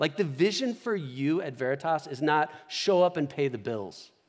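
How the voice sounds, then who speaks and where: Speaking in a Midwestern American accent, a man uses lively intonation and a fairly high pitch at a moderate pace. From US Midwest, Omaha. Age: 40s. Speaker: pastor. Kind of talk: sermon. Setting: church. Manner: conversational.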